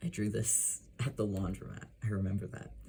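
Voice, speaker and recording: A man mumbles in a very deep, low voice that is somewhat breathy. His tone is dark and mellow, with ordinary pitch variation. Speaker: illustrator. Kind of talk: casual talk to camera. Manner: mumbly.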